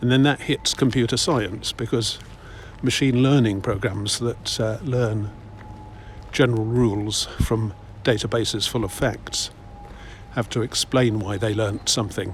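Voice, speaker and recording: A man with an English accent speaks at a medium pitch and a fairly slow pace, with long, frequent pauses. His intonation is fairly even, and there is noticeable background noise. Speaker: walking vlogger. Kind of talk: casual walking commentary. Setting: outdoors.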